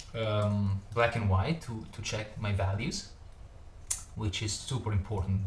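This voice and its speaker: A man with a fairly low pitch and fairly even intonation, over noticeable background noise. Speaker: digital artist. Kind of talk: tutorial. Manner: halting, many fillers and repeats.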